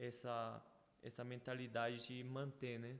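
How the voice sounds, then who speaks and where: A man speaks at a fairly slow pace with a medium-pitched voice. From Brazil (Paraná) and Paraguay, Korean family. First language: Korean (speaking Portuguese). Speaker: church member guest. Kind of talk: casual interview, testimony. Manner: halting, with repetitions.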